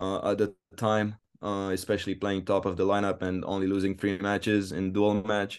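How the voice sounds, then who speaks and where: A man with a Romanian accent speaks in a fairly low pitch and a flat monotone. The background is quiet. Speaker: college tennis player. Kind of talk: interview. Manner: hesitant, many fillers.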